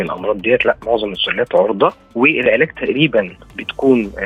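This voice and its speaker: Noticeable background noise fills the recording. Through it, a man speaks at a moderate pace. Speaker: veterinarian. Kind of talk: expert explanation in an interview.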